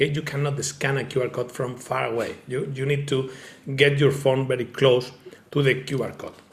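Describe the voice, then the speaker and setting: A man speaks with a strong Spanish accent. His pitch is fairly high and his pace moderate. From Spain. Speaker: tech company founder presenting a product. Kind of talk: online presentation with demonstration. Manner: halting, many fillers.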